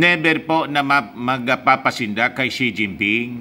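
Delivery is slow, with ordinary pitch variation. The tone is bright and sharp. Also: man.

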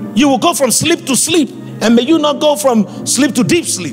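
Clear music plays behind a man speaking with a Nigerian accent at a moderate pace. His voice is extremely high-pitched, with lively intonation. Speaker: preacher. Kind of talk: sermon. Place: church. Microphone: handheld.

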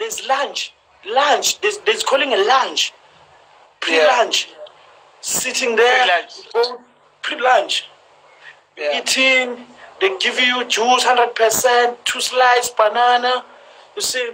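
A man uses a raised, projected voice at an extremely high pitch, with ordinary pitch variation. He talks at a very slow pace with long, frequent pauses and big swings in loudness. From South Africa. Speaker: professional footballer; live stream host. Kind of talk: casual Instagram live chat. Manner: humorous, confident. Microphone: phone near.

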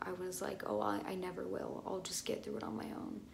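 Light noise runs behind the voice. The speaker is a woman. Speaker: vlogger. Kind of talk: casual vlog chat. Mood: earnest, personal, somewhat emotional. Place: bathroom. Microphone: phone near.

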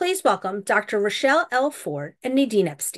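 A woman's medium-tempo speech over a quiet background. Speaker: event host introducing guests. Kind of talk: formal introduction. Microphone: video call.

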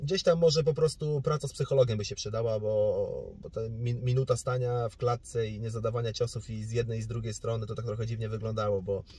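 Very fast and somewhat breathy, a man talks with lively intonation. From Poland, Suwałki region (north-east). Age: 20s. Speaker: boxer. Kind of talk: interview.

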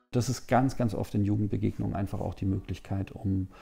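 The voice has a dark, mellow tone with a somewhat breathy quality. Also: man. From eastern Germany, Magdeburg; eastern Germany. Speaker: official at a Franco-German youth organization. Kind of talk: interview. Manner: hesitant with many fillers. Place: office. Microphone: lapel.

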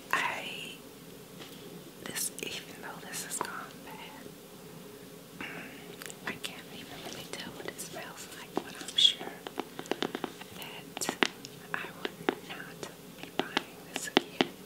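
Whispering with an American accent, the speaker goes very slowly with long, frequent pauses, loudness swinging widely over noticeable background noise. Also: woman. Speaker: ASMR creator. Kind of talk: ASMR show and tell, product empties review. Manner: whispered, soft-spoken.

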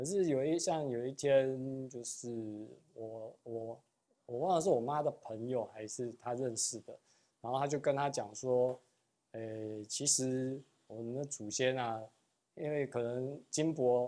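Intonation stays fairly even in this dark, mellow-toned voice. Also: man, fairly slow pace. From Taiwan. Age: young. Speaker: real estate agent; interview guest. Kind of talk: interview. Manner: hesitant, many fillers. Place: studio. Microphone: lapel.

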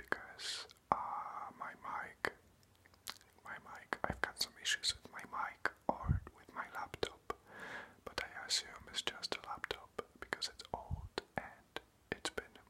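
Whispering and soft-spoken, a man talks at a very slow pace with big swings in loudness. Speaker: ASMR creator. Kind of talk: whispered casual vlog chat. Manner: soft close whisper, casual explaining. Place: home room. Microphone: phone near.

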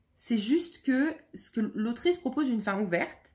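Pitched fairly high, the woman's voice swings very widely up and down. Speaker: book youtuber. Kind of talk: book review monologue. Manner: hesitant, many fillers.

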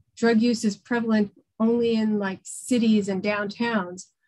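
A woman with an American accent speaks at a fairly slow pace, her fairly high, somewhat breathy voice held in a monotone, flat intonation. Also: quiet background. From New York City. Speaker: public defender; guest, defense attorney. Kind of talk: presentation. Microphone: video call.

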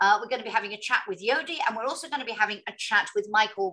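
A woman speaks with a fairly high pitch. Her voice has very wide pitch swings against a quiet background. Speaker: moderator. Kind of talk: moderated panel discussion. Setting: online video event. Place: home room.

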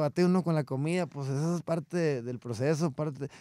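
A man's dark, mellow voice at a fairly quick pace, with ordinary pitch variation and a quiet background. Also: dry sound with no echo. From Mexico, Coahuila. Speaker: regional Mexican singer; guest. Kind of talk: interview. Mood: relaxed, grateful. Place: studio. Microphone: studio mic.

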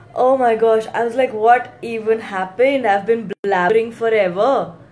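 Faint music plays in the background as a woman talks at a fairly slow pace with ordinary pitch variation. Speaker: live streamer. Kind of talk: casual live chat. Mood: flustered then relieved. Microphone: phone near.

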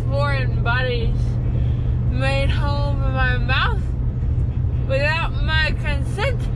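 Someone speaks at a very slow pace over loud background noise. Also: woman. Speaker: vlogger. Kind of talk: casual vlog chat.

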